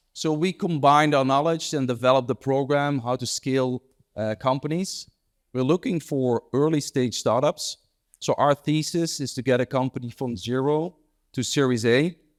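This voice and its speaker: A man's fairly high voice with ordinary pitch variation at a moderate pace, on a very clean recording with a silent background and a dry, close sound with no echo. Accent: Dutch. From Netherlands, Amsterdam. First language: Dutch. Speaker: entrepreneur and investor. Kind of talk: panel interview. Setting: stage with audience. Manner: smooth.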